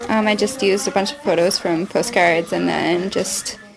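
At a moderate pace, the speech is accompanied by noticeable background noise. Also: woman. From Ontario, Canada. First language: bilingual French and English. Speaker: zine maker. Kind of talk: casual interview.

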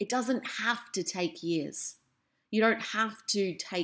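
A woman with an Australian accent and lively intonation. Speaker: podcast host. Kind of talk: personal monologue.

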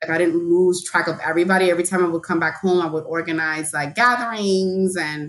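A woman speaks with a New York accent at a fairly quick pace. Her voice is fairly low, with fairly even intonation.

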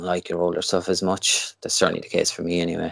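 A man talks very fast with a Limerick accent. The recording is very clean with a silent background. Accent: Irish (Limerick). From Ireland, Limerick. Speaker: wedding photographer. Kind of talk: casual interview.

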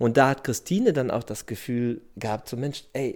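The pace is moderate and the pitch varies in an ordinary way. It is a normal speaking voice. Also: man. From Germany, Dortmund (Ruhr area). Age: 40s. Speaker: surfer who emigrated. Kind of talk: interview.

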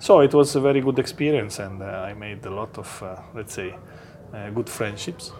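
A man with an Italian accent, medium pitch, ordinary pitch variation and big swings in loudness. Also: moderate pace. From Italy. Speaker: company executive. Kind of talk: interview.

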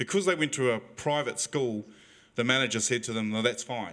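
Here a man talks at a fairly quick pace. His tone is bright and sharp, with ordinary pitch variation. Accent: New Zealand. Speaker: audience member. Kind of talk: question from audience. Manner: halting.

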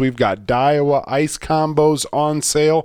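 The speaker has an American accent, recorded very cleanly with a silent background. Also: man. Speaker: outdoors podcast host. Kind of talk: casual chat. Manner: casual, filler-heavy.

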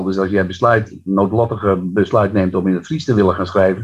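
A man's voice, somewhat breathy, keeps a fairly even intonation as he talks. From Netherlands, Friesland near Harlingen. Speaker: poet. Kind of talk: interview and poetry reading.

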